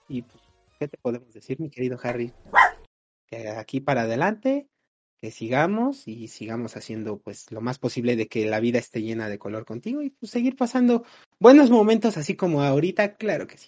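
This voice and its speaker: A man's dark, mellow voice at a medium pitch and fairly quick pace, with very wide pitch swings and big swings in loudness, in a dry, close sound with no echo and a quiet background. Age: 20s. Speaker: podcast co-host. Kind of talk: casual chat.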